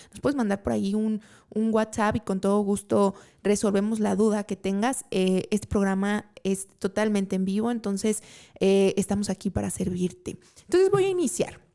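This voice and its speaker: At a moderate pace and medium pitch, a woman speaks in a normal speaking voice with fairly even intonation, on a very clean recording with a silent background. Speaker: podcast host and trade consultant. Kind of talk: live talk show monologue. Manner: casual, with frequent fillers.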